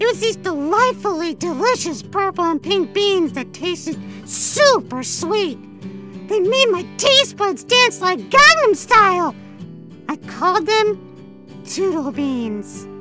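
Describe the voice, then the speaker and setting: With clear music in the background, a female-sounding cartoonish character voice talks at a fairly slow pace and an extremely high pitch for a woman. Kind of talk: cartoon character monologue. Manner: upbeat, chatty.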